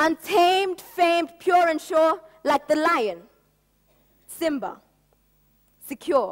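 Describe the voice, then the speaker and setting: Extremely high in pitch, a woman's voice moves at a very slow pace with ordinary pitch variation. Long, frequent pauses break up her speech. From Kenya, Nairobi. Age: 20s. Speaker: spoken word poet. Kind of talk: spoken word poetry performance. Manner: rhythmic.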